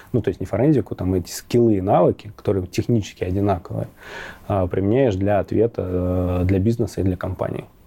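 A man with a fairly low voice and a dark, mellow tone speaks somewhat breathily, with ordinary pitch variation. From Rostov-on-Don, southern Russia. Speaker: cybersecurity expert. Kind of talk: interview. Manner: halting.

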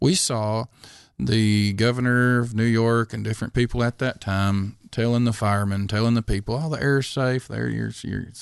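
Over a quiet background, a man speaks at a moderate pace with an unremarkable speaking voice and a medium pitch. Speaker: podcast co-host. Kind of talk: casual discussion of news.

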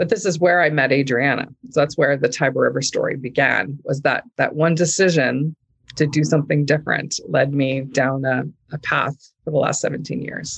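Somewhat breathy, this woman has a very deep, low pitch. Her intonation stays fairly even. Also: moderate pace. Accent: Canadian. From Canada, rural Manitoba (Oakbank). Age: 50s. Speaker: entrepreneur. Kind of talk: casual interview.

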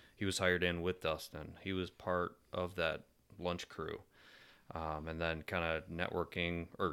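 In a very clean recording with a silent background, a man with a Michigan accent speaks in a very deep, low, monotone voice. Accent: Michigan (Inland North) American. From Michigan, suburbs of Detroit. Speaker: navy engineer and father of three. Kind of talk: casual chat. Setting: at the host's home.

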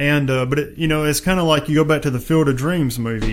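A man talks at a fairly quick pace in a fairly high voice with ordinary pitch variation. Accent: Southern US. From West Tennessee. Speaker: podcast host. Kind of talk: casual interview. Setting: studio.

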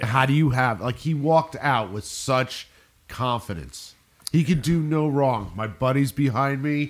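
This man has an unremarkable speaking voice at a medium pitch. He keeps a moderate pace with ordinary pitch variation. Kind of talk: casual chat. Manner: casual, swears often.

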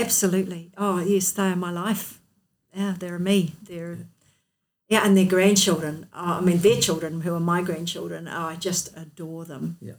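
Speaking in a New Zealand accent, a woman keeps a fairly slow pace. Her pitch is fairly low, with big swings in loudness. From New Zealand, North Otago. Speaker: accountant and multisport athlete. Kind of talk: interview.

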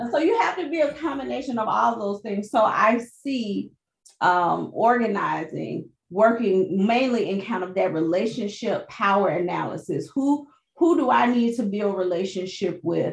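A woman speaks with vocal fry and lively intonation. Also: medium pitch for a woman, moderate pace. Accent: American. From US South (Birmingham, Alabama). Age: 40s. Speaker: pastor, ministry director. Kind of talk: interview conversation.

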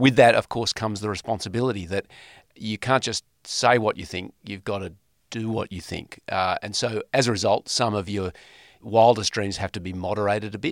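Fairly low male voice in an Australian accent, fairly even in intonation and moderate in pace, dry and close with no echo, on a very clean recording with a silent background. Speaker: former politician. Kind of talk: interview.

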